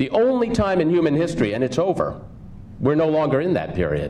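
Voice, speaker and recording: With noticeable background noise and audible room echo in the recording, a man speaks with lively intonation. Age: 50s. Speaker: union leader and advocate. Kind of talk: conference speech.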